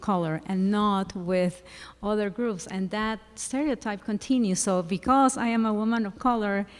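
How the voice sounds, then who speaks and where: Speaking fairly slowly with a non-native accent, a woman keeps her medium-pitched voice fairly even in intonation. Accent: noticeable non-native English. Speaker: school psychologist. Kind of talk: panel discussion. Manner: halting.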